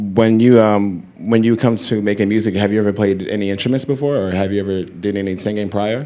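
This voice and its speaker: A man with a plain, everyday voice talks at a fairly quick pace with hardly any pauses, fairly even intonation, and a fairly low pitch. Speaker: magazine editor, moderator. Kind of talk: onstage interview. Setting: stage with audience. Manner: casual.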